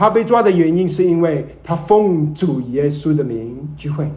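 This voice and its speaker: A man speaks at a fairly slow pace with a fairly high pitch. The room echo is audible. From Malaysia. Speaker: visiting preacher. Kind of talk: sermon. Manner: hesitant, many fillers.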